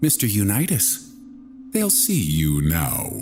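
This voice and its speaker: A man does a put-on character voice at a fairly slow pace over clear background noise. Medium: read story. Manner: courteous, faintly smug.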